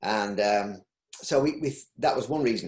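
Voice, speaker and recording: In a Yorkshire accent, a man speaks at a medium pitch with ordinary pitch variation. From Yorkshire, northern England. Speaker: textile recycling business owner. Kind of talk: interview. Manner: halting.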